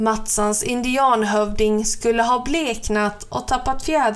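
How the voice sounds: What you hear is a natural reading voice.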